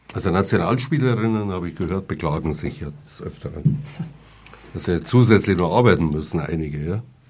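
A man speaks at a fairly quick pace in a very deep, low voice, his intonation lively. His loudness swings widely, and background noise is noticeable. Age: 60s. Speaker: radio host. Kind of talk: casual chat. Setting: studio.

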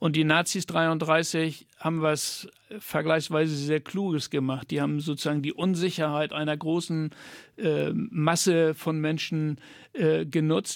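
In a very clean recording with a silent background, a man talks at a fairly slow pace in a fairly high pitch. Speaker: author and former teacher. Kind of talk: radio interview. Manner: halting, many fillers.

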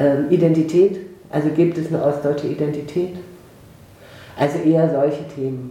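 With noticeable background noise and audible room echo, a woman speaks at a moderate pace in a very deep, low voice, using fairly even intonation and long, frequent pauses. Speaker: sociology professor. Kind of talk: interview.

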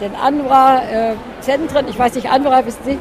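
A woman's high-pitched voice at a moderate pace, with audible room echo and crowd noise in the background. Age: 80s+. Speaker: charity association vice-chair. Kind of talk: interview at an event stand. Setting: event stand. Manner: hesitant with fillers.

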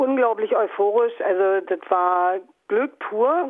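This is a woman speaking. Her pace is very slow. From Brandenburg, East Germany. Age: 50s. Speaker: anarchist activist. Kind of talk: interview.

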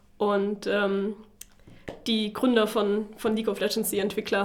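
Against noticeable background noise, a woman of medium pitch talks at a fairly slow pace. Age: 20s. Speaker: student PR manager. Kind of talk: interview. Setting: studio.

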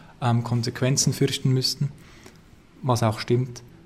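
A man at a medium pitch in a flat monotone, at a moderate pace. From Zurich, Switzerland. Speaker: activist. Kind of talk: interview. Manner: halting, repeats words.

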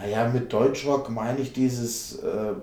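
A man talks at a moderate pace with ordinary pitch variation, while noticeable background noise and audible room echo fill the recording. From Hesse, Vogelsberg area. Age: 40s. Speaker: festival organizer and football fan activist. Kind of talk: interview.

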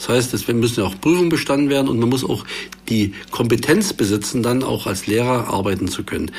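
A man with lively intonation talks at a medium pitch and a moderate speed while noticeable noise fills the background. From eastern Saxony, Germany (Görlitz district). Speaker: politician, party education spokesman. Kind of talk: panel discussion. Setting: studio.

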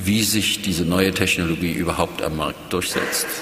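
There is noticeable background noise and audible room echo. A man speaks with fairly even intonation. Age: 50s. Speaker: public radio director. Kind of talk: panel discussion.

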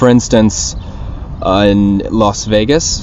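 The speaker has an American accent and ordinary pitch variation. Noticeable background noise and audible room echo fill the recording. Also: man. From US South, Richmond, Virginia. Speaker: activist. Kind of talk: interview.

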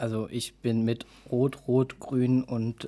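In a very clean recording with a silent background, a man speaks at medium pitch in a dark, mellow tone. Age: 20s. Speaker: youth party chairman. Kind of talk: political interview.

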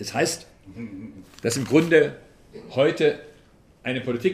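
Here a man with a fairly high pitch talks at a moderate pace, sounding somewhat breathy. Audible room echo surrounds his voice. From Swabia, southern Germany. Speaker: politician and transport expert. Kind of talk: public lecture. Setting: town hall talk with audience.

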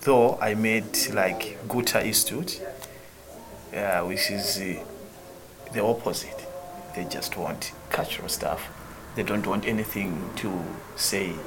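Amid audible room echo and music in the background, a man with a fairly low pitch speaks at a very slow pace with long, frequent pauses. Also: ordinary pitch variation. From central Malawi. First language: Chichewa. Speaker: theatre director. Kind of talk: casual interview conversation. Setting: in Graz, Austria on tour.

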